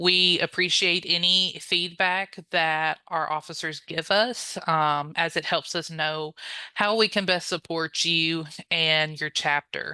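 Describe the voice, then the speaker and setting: A very slow voice in a Louisiana accent, fairly even in intonation, over a quiet background. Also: woman, fairly low pitch for a woman. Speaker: honor society staff member, chapter relations. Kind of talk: training presentation. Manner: frequent filler 'um', conversational.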